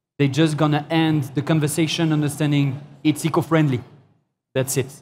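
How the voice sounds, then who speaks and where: Somewhat breathy and fairly high in pitch, a man talks at a moderate pace. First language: not English. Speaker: founder of a vegan shoe brand. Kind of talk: panel discussion. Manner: halting.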